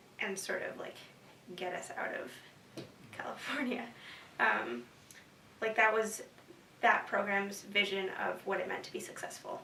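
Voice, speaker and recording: A woman with an American accent talks at a fairly slow pace with long, frequent pauses and very wide pitch swings, amid noticeable background noise and audible room echo. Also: medium pitch for a woman. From US West Coast, San Francisco Bay Area. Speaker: university student. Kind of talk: interview. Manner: hesitant, many fillers.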